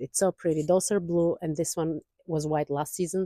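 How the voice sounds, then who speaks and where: A woman's voice carries a dark, mellow tone. The sound is dry and close with no echo, in a very clean recording with a silent background. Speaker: gardening vlogger. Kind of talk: casual garden tour vlog. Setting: outdoors in garden. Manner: fast.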